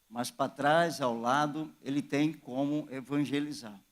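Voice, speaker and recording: The man's voice sits at a fairly high pitch. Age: 60s. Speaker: pastor. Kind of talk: sermon. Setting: church.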